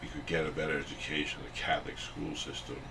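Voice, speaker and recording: His voice echoes audibly off the room. It is a man talking. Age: 60s. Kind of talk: interview. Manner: halting, many fillers.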